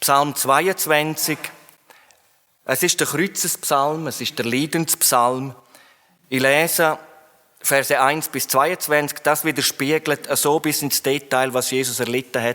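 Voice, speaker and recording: A man's fairly high, bright, sharp voice at a very slow pace, with fairly even intonation and long, frequent pauses. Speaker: preacher. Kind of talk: sermon. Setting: church hall, live audience.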